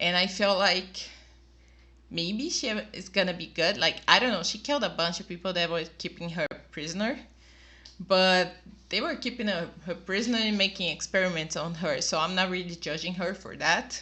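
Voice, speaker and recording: Someone with a Portuguese accent speaks at a moderate pace. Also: woman, medium pitch for a woman, ordinary pitch variation. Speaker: YouTube reactor. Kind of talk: video review monologue. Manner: casual, slightly halting.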